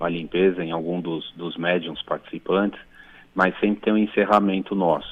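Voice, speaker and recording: A man with a very deep, low pitch, fairly even intonation and a moderate pace. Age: 40s. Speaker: caller, medium. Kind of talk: radio call-in question. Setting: phone call. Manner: halting.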